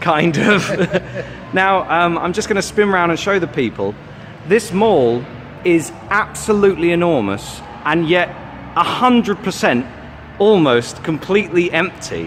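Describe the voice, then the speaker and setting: With a British accent, a man speaking high for a man takes a fairly slow pace with long, frequent pauses and lively intonation, over noticeable background noise. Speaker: comedian, documentary maker. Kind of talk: on-location interview questions.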